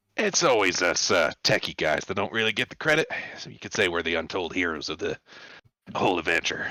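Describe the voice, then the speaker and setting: This raspy, put-on character voice moves at a fairly quick pace with big swings in loudness. The sound is dry and close, with no echo. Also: man, very deep, low pitch for a man. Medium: actual play. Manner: easygoing, hesitant.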